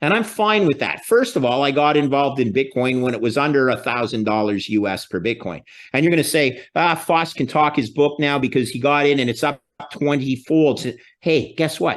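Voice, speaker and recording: A man with a Canadian accent speaks in a fairly high voice with lively intonation against a quiet background. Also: moderate pace. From Canada. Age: 60s. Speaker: finance expert. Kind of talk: interview. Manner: animated.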